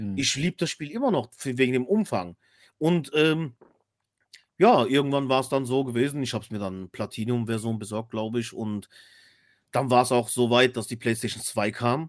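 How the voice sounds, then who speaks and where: A man speaks at a moderate pace and a medium pitch, with ordinary variation. He takes long, frequent pauses. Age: 30s. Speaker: podcast co-host. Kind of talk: casual chat.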